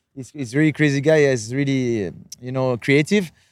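In a normal speaking voice, a man with a fairly high pitch and ordinary pitch variation talks at a moderate pace, recorded very cleanly against a silent background with a dry, close sound and no echo. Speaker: podcast host and freestyle footballer. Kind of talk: casual chat. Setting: outdoors on a rooftop.

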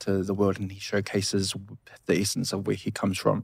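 A man speaks with a New Zealand accent. The recording is very clean with a silent background. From New Zealand, Samoan family. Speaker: cultural community speaker. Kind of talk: casual chat.

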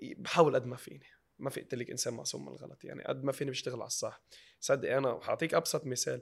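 This man speaks at a very fast pace. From Lebanon. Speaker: social media comedian. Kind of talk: interview.

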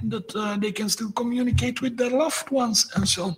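A man talks at an average speed, and noticeable background noise can be heard throughout. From Belgium. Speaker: tech startup CEO. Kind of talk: interview.

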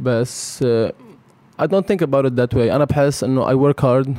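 Dark and mellow in tone, a man's voice holds to a medium pitch. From Lebanon. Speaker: professional basketball player. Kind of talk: casual interview. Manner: code-switching Arabic and English.

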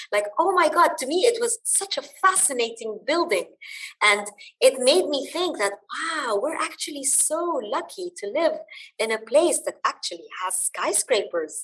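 A woman speaks in a high voice at a fairly slow pace. Her pitch swings very widely. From Dubai, UAE (Lebanese family). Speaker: business council manager. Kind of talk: interview. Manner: animated.

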